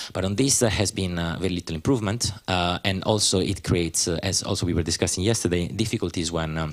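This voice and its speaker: A man with a non-native accent talks at a very fast pace with hardly any pauses, his pitch very deep and low with ordinary variation. The recording is very clean, with a silent background. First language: not English. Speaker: panelist at a university conference. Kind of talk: conference panel talk. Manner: halting, many fillers.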